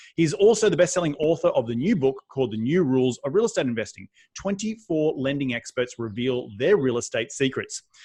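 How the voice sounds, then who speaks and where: With an Australian accent, a man speaks fairly quickly in a fairly high pitch, his tone energetic and his intonation lively. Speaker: podcast host. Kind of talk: interview podcast. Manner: fast.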